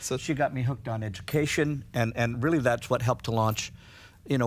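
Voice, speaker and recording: On a very clean recording with a silent background, a man with a Canadian accent speaks at a medium pitch and fairly quick pace with ordinary pitch variation. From Canada. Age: 60s. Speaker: hairdresser and hair educator. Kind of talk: casual interview. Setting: studio with audience. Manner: halting, many false starts.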